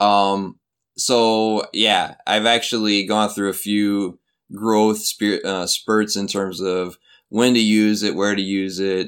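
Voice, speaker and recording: A man speaks very slowly with a Midwestern American accent, his pitch fairly low and his intonation flat and monotone. The recording is very clean, with a silent background. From US Midwest (Flint, Michigan). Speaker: university English educator. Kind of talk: interview. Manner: halting, many fillers.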